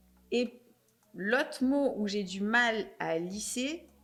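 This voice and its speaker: This woman's voice sits at a fairly high pitch. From Marseille, southern France. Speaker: podcast host. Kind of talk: casual interview chat.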